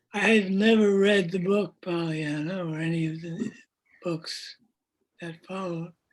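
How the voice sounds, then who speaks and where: A man with a high pitch, fairly even intonation and big swings in loudness, at a fairly slow pace. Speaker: poet. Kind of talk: casual conversation. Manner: effortful, trying to speak loudly; halting.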